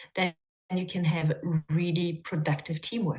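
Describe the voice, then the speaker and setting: Somewhat breathy, a woman speaks at a moderate pace in a non-native accent. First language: not English. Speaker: coach. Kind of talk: webinar talk. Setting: video call.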